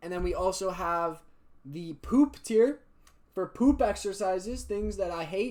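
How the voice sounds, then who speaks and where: Speaking at a fairly slow pace, a man sounds animated, with a high pitch and ordinary pitch variation. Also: big swings in loudness. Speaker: fitness youtuber. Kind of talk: casual tier list commentary.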